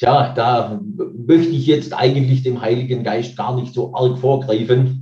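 Speaking at a very slow pace with hardly any pauses, a man with a medium pitch, ordinary pitch variation, and a dark, mellow, somewhat breathy tone comes through. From Baden-Württemberg, Nagold area. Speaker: church minister. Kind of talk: interview.

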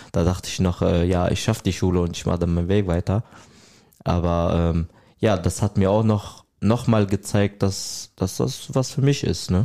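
A man with an Arabic accent speaks in a very deep, low pitch with ordinary variation. His pace is moderate and his loudness very even. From Syria. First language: Arabic (speaking German). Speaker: trainee hairdresser. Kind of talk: interview.

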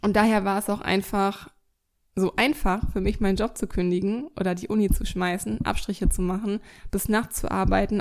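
A normal speaking voice at a moderate pace, on a very clean recording with a silent background. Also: woman. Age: 20s. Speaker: podcast host, dog coach. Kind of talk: solo monologue, reflective. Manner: casual, many filler sounds.

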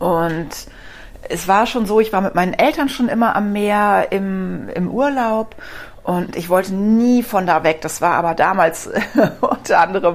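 The speaker has an unremarkable speaking voice. The intonation is lively. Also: woman. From Rhineland, Germany. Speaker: podcast host, dog physiotherapist. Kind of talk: personal storytelling monologue.

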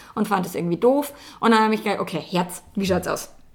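Very fast female speech at medium pitch, with vocal fry. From Bavaria, rural farm. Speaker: relationship coach. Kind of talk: casual interview. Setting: in person in Hamburg. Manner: animated, laughs often.

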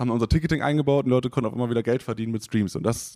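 A man's voice with fairly even intonation, in a dry, close sound with no echo. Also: very clean recording, silent background. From northern Germany, Oldenburg. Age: 20s. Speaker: startup executive. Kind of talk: podcast interview.

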